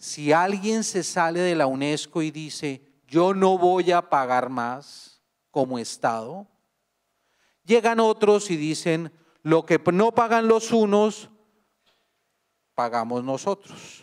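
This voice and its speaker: Pausing long and often, a man speaks very slowly at a high pitch with lively intonation. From Colombia. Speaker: international organization expert, academic speaker. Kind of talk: conference talk.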